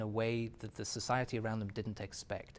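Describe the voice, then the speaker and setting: A man speaks in a medium pitch with an English accent. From England. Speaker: author and businessman. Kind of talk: interview.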